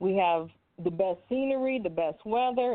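A woman speaks with ordinary pitch variation. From California. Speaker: Air Force veteran and congressional candidate. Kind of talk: radio interview. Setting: studio.

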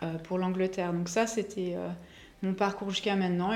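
A woman's flat, monotone delivery with audible room echo. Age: 40s. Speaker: chocolatier. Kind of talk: casual interview chat.

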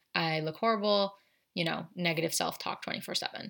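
The recording is very clean with a silent background. A woman with a fairly low pitch speaks at a moderate pace. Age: 20s. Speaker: podcast host, holistic nutritionist. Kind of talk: casual chat. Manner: casual, animated.

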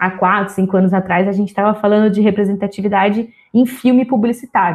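A somewhat breathy woman at a very fast pace, in a monotone, flat intonation. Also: quiet background. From Brazil, São José dos Campos (interior of São Paulo state). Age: 20s. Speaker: diversity consultant and communications analyst. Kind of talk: interview conversation.

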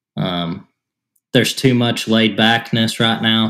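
In a very clean recording with a silent background, a man with an East Tennessee accent speaks at a very slow pace in a medium pitch with a bright, sharp tone. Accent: US Southern (East Tennessee). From Tennessee, near Chattanooga. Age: 20s. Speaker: podcast co-host. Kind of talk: casual chat.

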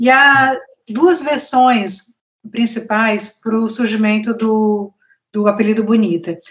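A somewhat breathy voice at a very slow pace with ordinary pitch variation. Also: woman, fairly high pitch for a woman. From Brazil, Northeast (Fortaleza, Ceará). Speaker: journalist and author. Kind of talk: interview.

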